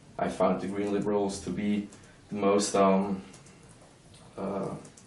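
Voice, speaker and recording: A man talks at a fairly slow pace with a fairly low pitch. Noticeable background noise and audible room echo fill the recording. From Switzerland, Lucerne canton. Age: 20s. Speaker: young politician. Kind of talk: interview. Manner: hesitant, many fillers.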